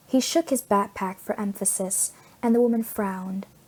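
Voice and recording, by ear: At a moderate pace, a woman speaks in a slightly mellow tone with a slightly husky edge.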